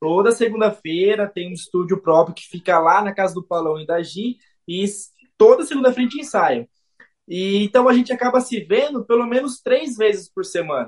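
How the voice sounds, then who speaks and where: A man with a high pitch at a moderate pace, with lively intonation and big swings in loudness. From Brazil, Jundiaí. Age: 30s. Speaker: saxophonist. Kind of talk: radio interview.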